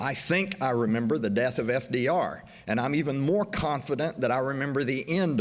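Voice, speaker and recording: A man with an American accent and lively intonation at a moderate pace, with audible room echo. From US South, western Arkansas / Oklahoma. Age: 60s. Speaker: history professor. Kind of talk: conference introduction speech.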